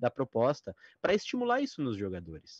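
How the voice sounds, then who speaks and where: At a moderate pace and medium pitch, a man talks in a plain, everyday voice, with a dry sound, no echo and a quiet background. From Brazil. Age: 30s. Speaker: tabletop RPG author; guest. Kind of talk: interview. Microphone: video call.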